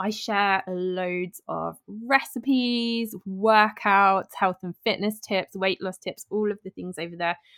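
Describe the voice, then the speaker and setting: A woman with a British accent speaks very slowly at a medium pitch, her intonation fairly even and her loudness swinging widely. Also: hardly any pauses. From southern England. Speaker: health and fitness podcaster. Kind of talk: interview.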